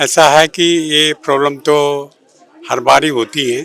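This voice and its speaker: A man's voice, dry and close with no echo. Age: 80s+. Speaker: voter. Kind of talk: street interview. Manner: halting.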